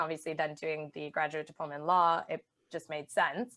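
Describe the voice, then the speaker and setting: A woman with a strong Canadian accent, talking at a moderate pace against a quiet background. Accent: Canadian, still strong. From Canada. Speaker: charity managing director. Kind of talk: podcast interview.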